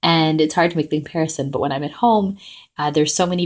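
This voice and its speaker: On a very clean recording with a silent background, a woman with a Canadian accent speaks with fairly even intonation. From Canada, British Columbia. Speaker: podcast host. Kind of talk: personal audio reflection. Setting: family home in Vancouver.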